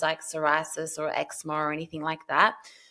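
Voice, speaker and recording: A woman with an ordinary speaking voice talks at a fairly quick pace with a fairly low pitch. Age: 40s. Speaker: health practitioner and menstrual cycle educator. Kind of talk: podcast interview.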